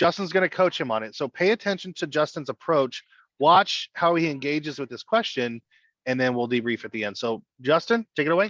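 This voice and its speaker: Over a quiet background, a man with an American accent talks in an ordinary speaking voice at a fairly high pitch and a fairly quick pace, with lively intonation and a dry, close sound with no echo. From Southern California. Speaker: financial coaching director. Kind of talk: webinar hosting.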